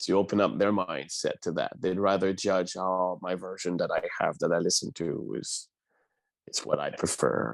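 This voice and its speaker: A man with a Quebec accent talks at a moderate pace against a quiet background. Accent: Québécois French accent in English. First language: French. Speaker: opera singer. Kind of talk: interview.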